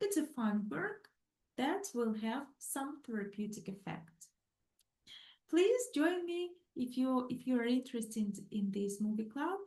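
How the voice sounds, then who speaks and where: With a non-native accent, a woman speaks in a high pitch and a dark, mellow tone, her voice making very wide pitch swings. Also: fairly slow pace. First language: not English. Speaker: psychologist. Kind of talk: lecture. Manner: halting, many fillers.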